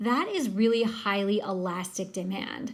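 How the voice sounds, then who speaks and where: A woman's voice sits at a medium pitch and sounds somewhat breathy. There is audible room echo. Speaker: teacher. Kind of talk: recorded lecture.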